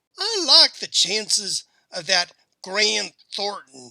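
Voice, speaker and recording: In a put-on character voice, a man speaks very slowly at a high pitch with lively intonation, the sound dry and close with no echo. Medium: read story. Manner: calm, terse.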